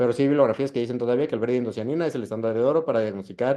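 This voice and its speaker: This man has a medium-pitched voice with a dark, mellow tone. His pitch varies in an ordinary way. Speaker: ophthalmology fellow presenting a class. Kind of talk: lecture. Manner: fast.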